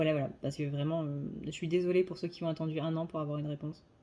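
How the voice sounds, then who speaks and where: Talking at a very fast pace, a woman has a fairly low pitch, a dark, mellow tone and monotone, flat intonation. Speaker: psychic card reader. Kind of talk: tarot reading monologue; casual channel update. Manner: hesitant with fillers.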